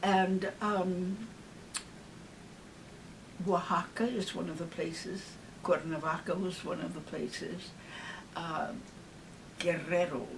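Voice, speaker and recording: With an American accent, a woman talks at a fairly low pitch and a very slow pace, using fairly even intonation. Long, frequent pauses break up her speech, and background noise is noticeable. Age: 80s+. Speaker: singer. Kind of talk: interview answer. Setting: home. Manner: warm, witty.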